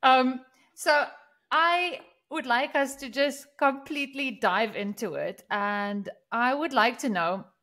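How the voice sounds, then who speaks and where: Raised and projected, a woman's high voice has a bright, sharp tone, lively intonation and a non-native accent as she speaks at a very slow pace. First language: not English. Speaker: podcast co-host. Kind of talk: casual chat.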